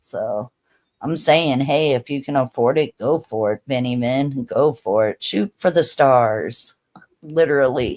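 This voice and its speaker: With an American accent and an animated tone, a woman speaks at a very deep, low pitch in a dry, close sound with no echo. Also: ordinary pitch variation, fairly slow pace. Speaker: live streamer. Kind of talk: casual chat. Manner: loud.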